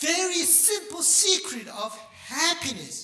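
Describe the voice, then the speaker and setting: A man speaks in a raised, projected voice. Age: 60s. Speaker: pastor. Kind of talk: sermon. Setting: church. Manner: halting.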